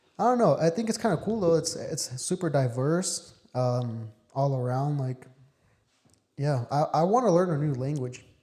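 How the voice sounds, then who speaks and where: At a moderate pace, a man with a fairly high pitch and a dark, mellow, somewhat breathy tone speaks with lively intonation. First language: Spanish. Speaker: podcast host. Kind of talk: casual chat.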